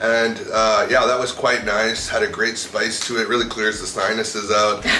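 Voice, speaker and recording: A man with a Canadian accent and a medium pitch talks at a moderate pace in a monotone, flat intonation with very even loudness, amid audible room echo and noticeable background noise. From Canada, Toronto. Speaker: visiting traveller interviewed about his trip. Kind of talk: casual interview chat.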